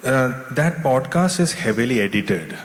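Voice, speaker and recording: Noticeable background noise sits behind a man with an Indian accent. His intonation is lively. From India, Kerala, raised in Delhi. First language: Tulu. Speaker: author and screenwriter. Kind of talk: literature festival interview.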